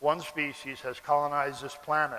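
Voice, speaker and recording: With an American accent, a man speaks over noticeable background noise. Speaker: philosophy lecturer and animal rights activist. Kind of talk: public lecture. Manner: slow, deliberate for non-native audience.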